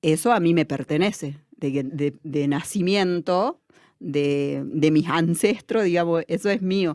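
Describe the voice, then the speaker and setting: On a very clean recording with a silent background, a woman talks at a very slow pace in a very deep, low pitch with ordinary pitch variation. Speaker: education student and community worker. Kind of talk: interview. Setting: studio.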